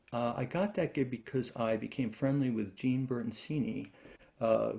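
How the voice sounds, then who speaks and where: A man speaks with a New York accent. His tone is dark and mellow, with ordinary pitch variation. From New York, Brooklyn. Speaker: classical guitarist and lutenist. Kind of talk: interview. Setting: video call. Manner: halting.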